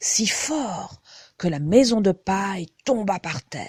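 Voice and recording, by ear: The voice reads aloud naturally. Its intonation has plenty of life.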